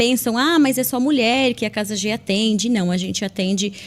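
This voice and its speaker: This woman has an ordinary speaking voice, fairly high in pitch with ordinary pitch variation. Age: 40s. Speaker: social worker. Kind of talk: interview.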